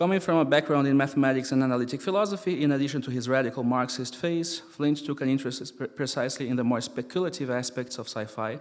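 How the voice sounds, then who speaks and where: A man with a non-native accent, very fast and with hardly any pauses. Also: medium pitch for a man, ordinary pitch variation. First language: not English. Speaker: experimental musician and philosopher. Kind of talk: lecture read from paper.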